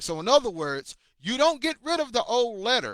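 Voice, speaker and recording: Bright and sharp, the raised, projected voice comes across dry and close with no echo. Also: man. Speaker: bible teacher. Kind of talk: bible lesson livestream. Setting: livestream on multiple platforms.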